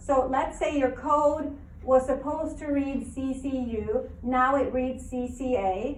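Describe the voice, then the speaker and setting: Amid audible room echo, a woman speaks at a very slow pace in a high pitch with fairly even intonation. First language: not English. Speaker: biology teacher. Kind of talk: lecture. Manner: conversational, questioning students.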